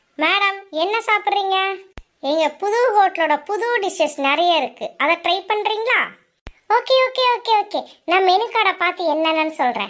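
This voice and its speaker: A woman does a cartoonish character voice at an extremely high pitch for a woman. Her intonation is lively and her pace fairly slow. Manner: obsequious, says madam constantly.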